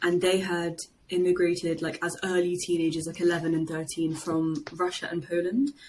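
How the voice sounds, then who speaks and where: With a London accent, a woman talks at a moderate pace in a fairly low pitch, her intonation fairly even. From London, England. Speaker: podcast guest, podcast host. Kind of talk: casual chat.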